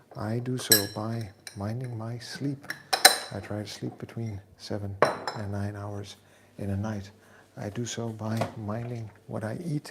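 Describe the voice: A man's fairly low pitch with little pitch movement, vocal fry, a fairly bright tone and a fairly slow pace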